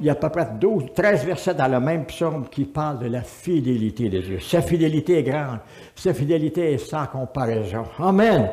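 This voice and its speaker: With music in the background and audible room echo, a man speaks in a Quebec accent at a moderate pace, his pitch fairly high and his intonation lively. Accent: Québécois French. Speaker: pastor. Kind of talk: sermon. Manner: animated.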